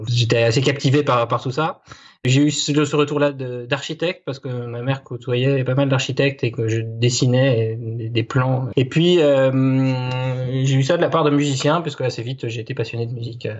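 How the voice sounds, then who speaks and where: The speaker is a man with a medium pitch and fairly even intonation. He keeps a moderate pace with hardly any pauses. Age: 30s. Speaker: web developer and musician-composer. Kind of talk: interview. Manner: halting, with many hesitations.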